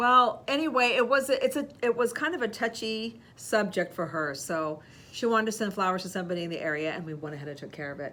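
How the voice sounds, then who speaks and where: A woman speaks with lively intonation. Her pace is moderate. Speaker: podcast co-host, florist shop owner. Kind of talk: casual chat. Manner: loud; halting.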